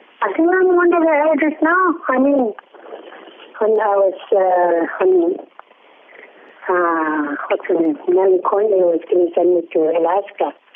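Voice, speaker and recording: Noticeable background noise sits behind a woman speaking at a fairly slow pace. Her pitch swings very widely. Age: old. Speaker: community elder. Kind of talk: casual chat.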